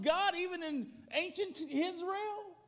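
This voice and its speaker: A man speaks at an extremely high pitch with ordinary pitch variation. Noticeable background noise runs under his voice. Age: 50s. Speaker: guest preacher, church board member. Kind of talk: sermon. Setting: church with congregation. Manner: loud, powerful delivery.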